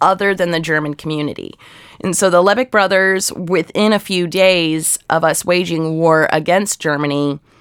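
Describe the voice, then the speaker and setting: This woman has a normal speaking voice, fairly low in pitch, with an American accent. She keeps fairly even intonation at a moderate pace. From Ohio, US Midwest. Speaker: archive researcher. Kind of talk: interview.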